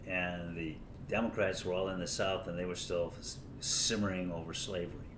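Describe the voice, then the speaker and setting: Fairly even intonation carries a fairly quick pace, with audible room echo around the voice. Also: man. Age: 70s. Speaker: lawyer and political commentator. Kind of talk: casual political monologue. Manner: halting, many fillers and restarts.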